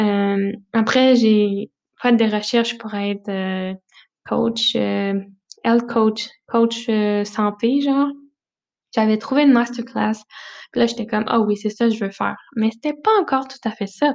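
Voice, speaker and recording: In a Quebec accent, the speech goes at a very slow pace with fairly even intonation against a quiet background. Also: woman, fairly high pitch for a woman. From Quebec, Centre-du-Québec village. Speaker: travel podcast host. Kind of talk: casual monologue.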